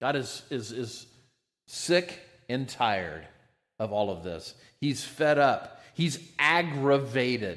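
A man with an American accent and vocal fry speaks very slowly at a medium pitch, with very wide pitch swings and long, frequent pauses. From United States. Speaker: pastor. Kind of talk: sermon.

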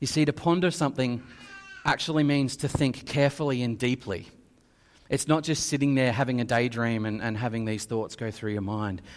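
Recorded very cleanly over a silent background, a man speaks at a moderate pace and medium pitch with ordinary pitch variation, an ordinary speaking voice. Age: 30s. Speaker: preacher. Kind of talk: sermon.

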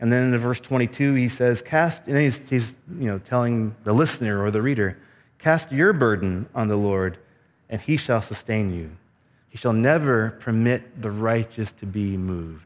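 An ordinary speaking voice from a man, medium in pitch with ordinary pitch variation, at a moderate pace over a very clean recording with a silent background. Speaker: preacher. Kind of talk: sermon. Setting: church. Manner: formal, measured with filler pauses.

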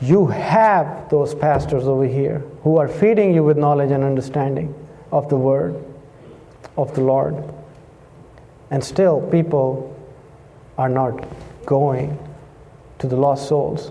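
Against noticeable background noise, a man with a fairly high pitch and ordinary pitch variation talks at a fairly slow pace with long, frequent pauses. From Pakistan. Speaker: missionary preacher. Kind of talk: sermon. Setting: church.

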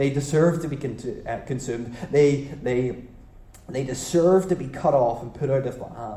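A man with a fairly high pitch speaks at a moderate pace, a little breathy, with ordinary pitch variation and big swings in loudness. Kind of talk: sermon. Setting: church, live congregation. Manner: expository, teacherly, pausing to quiz the congregation.

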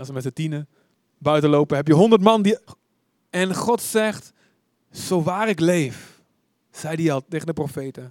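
At a fairly slow pace, a man with a fairly high pitch and ordinary pitch variation speaks in a dry, close sound with no echo. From Netherlands, Deventer. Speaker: preacher. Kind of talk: sermon.

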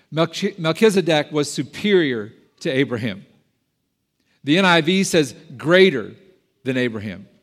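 Fairly high-pitched, a man speaks at a moderate pace with very wide pitch swings, vocal fry and long, frequent pauses on a very clean recording with a silent background. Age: 50s. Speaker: pastor. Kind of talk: sermon. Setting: church.

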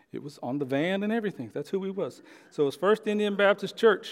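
A man with an American accent, high in pitch with lively intonation, at a moderate pace on a very clean recording with a silent background. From Oklahoma. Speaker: guest preacher filling in for pastor. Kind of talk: sermon. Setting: church service with congregation.

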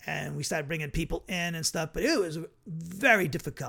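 A man's fairly high, bright, sharp voice with vocal fry, at a very fast pace. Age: 50s. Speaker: bible teacher. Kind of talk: bible study lecture; personal story. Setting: online video broadcast. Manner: casual, halting with fillers.

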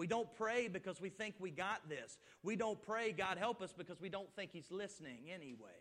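A man talks at a moderate pace with hardly any pauses. His pitch is high, with ordinary pitch variation. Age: 30s. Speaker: pastor. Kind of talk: sermon.

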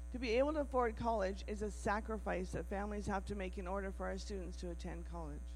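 A woman speaks at a very fast pace with hardly any pauses, her pitch very deep and low. Her intonation stays monotone and flat while music plays in the background. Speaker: missionary. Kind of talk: testimony. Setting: church.

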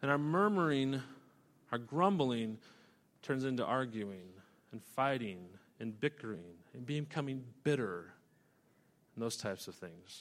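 With a Western US accent, a man speaks at a fairly slow pace using lively intonation, recorded very cleanly against a silent background. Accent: Western American. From US West (Idaho). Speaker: pastor. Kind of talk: sermon.

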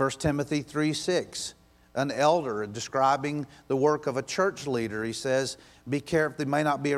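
A plain, everyday voice from a man, fairly high in pitch, at a moderate pace. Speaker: pastor. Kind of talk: sermon. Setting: church.

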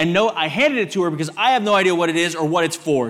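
A man with a Texan accent talks at a very fast pace in a high pitch. His tone is animated and his intonation lively. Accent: Texan American. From Texas. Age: 30s. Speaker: visiting preacher. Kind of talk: sermon. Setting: church.

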